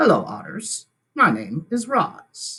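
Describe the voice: Put on as a robotic character voice, the speech moves at a fairly slow pace.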